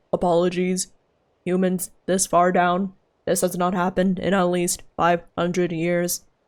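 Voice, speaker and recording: Using a robotic, put-on character voice, a woman speaks at medium pitch and a moderate pace in a monotone, flat intonation. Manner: formal, apologetic.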